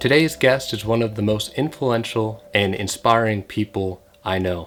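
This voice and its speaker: Music plays in the background as a man speaks. His pitch is fairly low, with ordinary variation. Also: moderate pace. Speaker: podcast host. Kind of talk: podcast intro.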